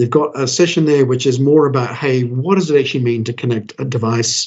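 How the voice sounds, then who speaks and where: Pitch varies in an ordinary way here. The voice carries a somewhat breathy quality. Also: man. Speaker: developer advocate, tech speaker. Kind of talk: technical presentation. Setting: video call. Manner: casual, with many fillers and restarts.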